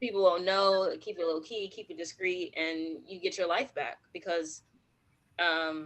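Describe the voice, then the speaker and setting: A woman with an unremarkable speaking voice talks fairly slowly at medium pitch. Her intonation stays fairly even while her loudness swings widely. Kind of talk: casual conversation.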